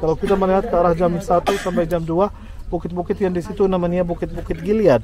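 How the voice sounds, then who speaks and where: A man's high-pitched voice at a fairly quick pace, over noticeable background noise. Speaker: tour guide. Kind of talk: guided tour talk.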